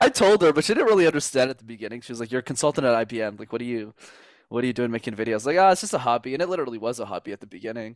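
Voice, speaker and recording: Recorded very clean against a silent background, with a dry, close sound and no echo, a man with a Montreal accent talks at a very fast pace. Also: medium pitch for a man, lively intonation. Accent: Canadian English, Montreal. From Montreal, Quebec. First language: French. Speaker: communication coach. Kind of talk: podcast interview.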